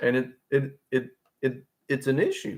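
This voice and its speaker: This is a man speaking at a medium pitch. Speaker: guitarist streaming solo. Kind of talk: casual live stream monologue. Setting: solo live stream. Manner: rambling, filler-heavy.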